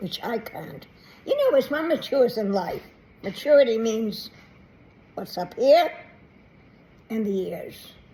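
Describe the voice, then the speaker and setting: Amid noticeable background noise, a woman talks at a fairly slow pace with lively intonation. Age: 80s+. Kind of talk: casual talk to camera.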